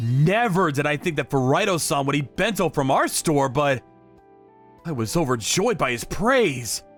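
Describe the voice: With faint music in the background, a man speaks at a fairly slow pace in a fairly high pitch and fairly bright tone, his pitch swinging widely.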